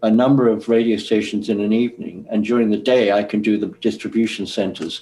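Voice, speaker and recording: A man speaks at a medium pitch with an English accent. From England. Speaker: former record promotion man. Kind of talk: interview recollection.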